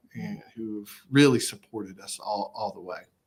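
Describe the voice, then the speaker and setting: Speaking with an East Tennessee accent, a man keeps a moderate pace and lively intonation on a very clean recording with a silent background. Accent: East Tennessee Southern US. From Upper East Tennessee. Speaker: college athletics director. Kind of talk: interview. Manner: frequent fillers and repetitions.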